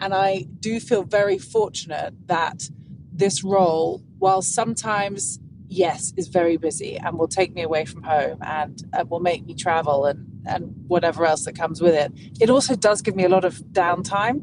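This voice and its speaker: The speaker has an English accent and a moderate pace, with ordinary pitch variation, over noticeable background noise. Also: woman. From England. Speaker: golf broadcaster. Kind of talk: interview. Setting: podcast interview.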